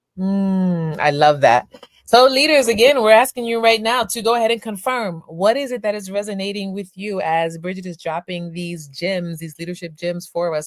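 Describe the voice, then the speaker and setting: A woman's unremarkable speaking voice, medium-pitched, moderate in pace, with ordinary pitch variation. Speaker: podcast host. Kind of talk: podcast interview.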